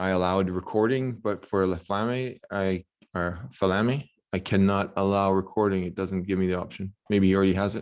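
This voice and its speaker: Intonation stays fairly even. The background is quiet. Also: man. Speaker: election group participant. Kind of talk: casual discussion. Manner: fast.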